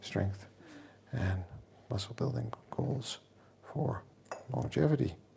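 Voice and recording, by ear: A man speaks at a fairly slow pace in a dark, mellow tone with vocal fry and ordinary pitch variation, amid audible room echo.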